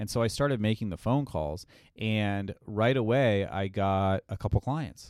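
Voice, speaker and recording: This is an unremarkable speaking voice with ordinary pitch variation. It moves at a fairly slow pace. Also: man, fairly low pitch for a man. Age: 30s. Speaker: stand-up comedian. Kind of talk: casual chat.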